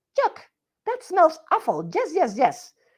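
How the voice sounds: In a put-on character voice that is squeaky and extremely high in pitch, the speaker talks at a fairly slow pace.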